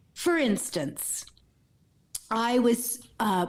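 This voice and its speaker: A woman talks with a fairly high pitch. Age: 60s. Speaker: mindfulness coach and author. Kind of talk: interview. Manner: hesitant, many fillers.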